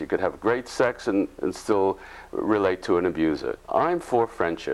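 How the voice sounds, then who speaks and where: Very wide pitch swings from a man at a moderate pace. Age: 80s+. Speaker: psychologist and author. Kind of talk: interview. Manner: halting, many repeated words.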